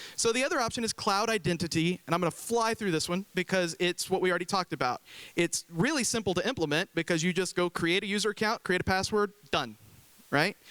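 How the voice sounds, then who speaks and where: On a very clean recording with a silent background and a dry, close sound with no echo, a man talks at a very fast pace with a high pitch, a bright, sharp tone, ordinary pitch variation and very even loudness. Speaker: IT consultant presenter. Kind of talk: conference talk.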